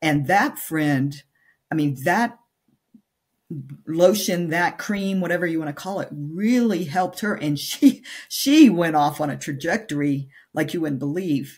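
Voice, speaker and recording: A woman with a fairly low pitch speaks at a fairly slow pace, her intonation lively. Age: 60s. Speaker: menopause nutrition coach. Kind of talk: podcast interview. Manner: halting, many fillers.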